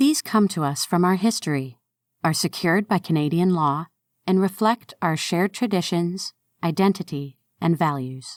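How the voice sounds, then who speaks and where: In an ordinary speaking voice, a woman talks at a moderate pace with fairly low pitch and lively intonation, recorded very cleanly with a silent background and a dry, close sound with no echo. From Canada. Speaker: narrator. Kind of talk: reading aloud.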